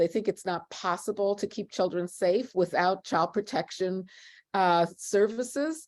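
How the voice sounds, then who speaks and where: Speaking at a fairly slow pace, a woman has an unremarkable speaking voice, medium pitch and ordinary pitch variation. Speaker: law professor and abolition scholar. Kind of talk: panel discussion. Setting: online video event.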